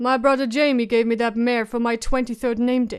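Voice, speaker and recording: A woman's put-on character voice, high-pitched and monotone with flat intonation, at a moderate pace, in a very clean recording with a silent background. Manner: flat, unemotional.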